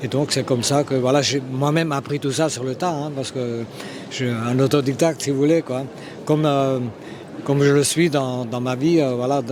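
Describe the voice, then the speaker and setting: Over noticeable background noise, a man speaks at a moderate pace in a medium-pitched voice with monotone, flat intonation. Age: 70s. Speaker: illustrator and cartoonist. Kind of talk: interview. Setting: trade fair. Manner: hesitant, many fillers and repetitions.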